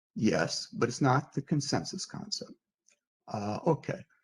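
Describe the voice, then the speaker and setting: The man's voice sits at a medium pitch and sounds somewhat breathy. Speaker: philosopher. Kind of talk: lecture. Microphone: hears own echo.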